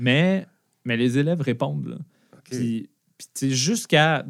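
On a very clean recording with a silent background, a man speaks at a moderate pace with a Quebec accent. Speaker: tech company founder and former teacher. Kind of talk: interview.

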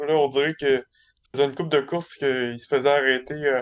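This is a man with a fairly high pitch. His intonation stays fairly even. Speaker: sports podcast panelist. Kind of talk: casual chat.

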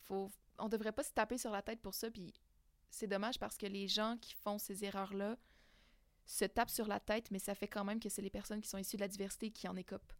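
Fairly quick, monotone speech with flat intonation, in a Quebec accent. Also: woman, medium pitch for a woman. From Quebec, Abitibi-Témiscamingue. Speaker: queer guest sharing experience. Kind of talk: casual interview. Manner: halting, many fillers.

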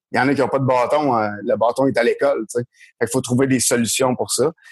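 Speaking at a moderate pace, a man uses a normal speaking voice at a medium pitch. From rural Quebec. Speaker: former baseball player and coach. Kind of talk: casual chat.

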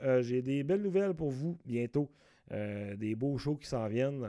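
Speaking with a Saguenay–Lac-Saint-Jean accent, a man with a fairly high pitch and a dark, mellow tone shows ordinary pitch variation in a very clean recording with a silent background. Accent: Quebec French, Saguenay–Lac-Saint-Jean. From Quebec, Lac-Saint-Jean. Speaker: comedian and podcast host. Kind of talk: casual solo podcast monologue. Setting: home recording.

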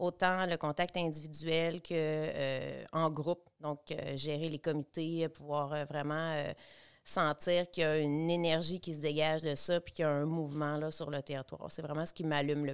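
On a very clean recording with a silent background, a woman speaks at a moderate pace in a very deep, low pitch with monotone, flat intonation. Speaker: local development coordinator. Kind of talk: casual interview chat.

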